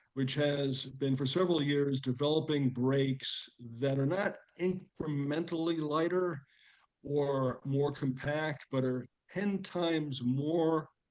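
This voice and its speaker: A man with a fairly high voice speaks very slowly. His intonation stays fairly even. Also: very even loudness. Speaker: angel investor presenting companies. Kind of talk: video call meeting presentation.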